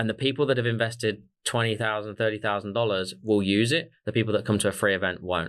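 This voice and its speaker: Spoken at a very fast pace with an Australian accent. The recording is very clean, with a silent background. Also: man. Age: 30s. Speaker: sales coach, business co-founder. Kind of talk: interview conversation. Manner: hesitant, many fillers.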